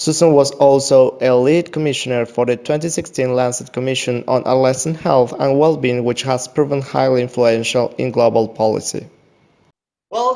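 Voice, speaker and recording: The man's pitch sits fairly high, and he speaks with an Argentine accent. His pace is moderate. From Argentina. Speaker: doctor and interviewer. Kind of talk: scripted introduction; interview. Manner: halting.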